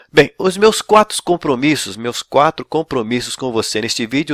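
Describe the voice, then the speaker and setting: A man's unremarkable speaking voice, fairly high in pitch, with lively intonation and a dry, close sound free of echo. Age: 60s. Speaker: pastor and ministry coach. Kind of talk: online lecture. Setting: recorded video.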